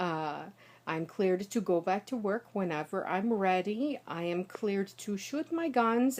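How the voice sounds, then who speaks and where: With an American accent, a woman speaks at a medium pitch. Her pace is moderate and her intonation lively. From United States. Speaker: linguist and professional singer. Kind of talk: casual talk to camera. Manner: some trouble with consonant clusters.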